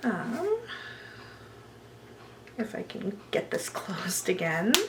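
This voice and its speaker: A soft-spoken woman with a fairly high pitch and lively intonation speaks very slowly against noticeable background noise. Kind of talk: ASMR roleplay nail consultation.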